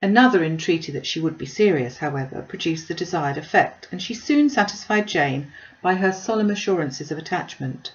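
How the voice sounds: Fairly quick delivery with lively intonation, few pauses and audible room echo. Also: woman, fairly low pitch for a woman.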